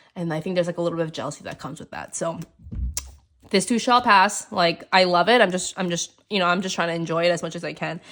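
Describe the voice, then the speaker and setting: On a very clean recording with a silent background, a woman speaks in a normal speaking voice with a fairly low pitch and fairly even intonation. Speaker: planner and journaling vlogger. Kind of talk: casual chat. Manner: casual, filler-heavy.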